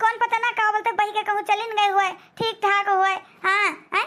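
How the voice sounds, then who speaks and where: In a cartoonish character voice, a woman talks at a fairly quick pace with an extremely high pitch. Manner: warm, chatty, filler-heavy.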